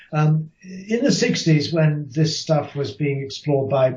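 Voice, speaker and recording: A man is speaking. His voice is somewhat breathy. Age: 60s. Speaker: author and Buddhist scholar. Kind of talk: interview. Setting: podcast interview. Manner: thoughtful, with hesitations.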